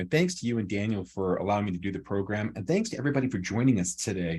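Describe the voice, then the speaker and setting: Over a quiet background, a man with a fairly low pitch talks at a very fast pace with lively intonation. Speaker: employment attorney. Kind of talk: webinar presentation.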